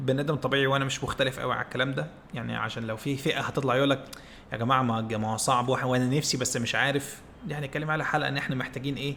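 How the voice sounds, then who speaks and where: A man with an Egyptian accent talks at a very fast pace and medium pitch, with fairly even intonation. Noticeable background noise runs underneath. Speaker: podcast co-host. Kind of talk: casual chat. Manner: calm.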